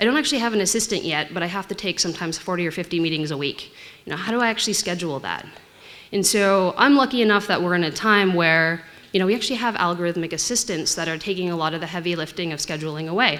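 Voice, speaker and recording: A woman with a Canadian accent, fairly low in pitch, at a very fast pace. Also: ordinary pitch variation. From Canada. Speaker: tech investor. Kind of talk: conference talk.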